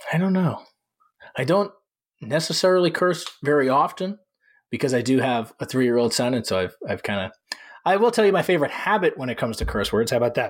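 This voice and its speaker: With very wide pitch swings, a man with a fairly high pitch talks at a very fast pace in a very clean recording with a silent background. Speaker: dog trainer. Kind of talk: interview conversation.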